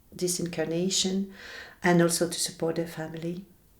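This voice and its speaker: A woman's fairly low voice in a French accent. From French-speaking Belgium. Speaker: shaman. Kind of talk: interview. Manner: halting.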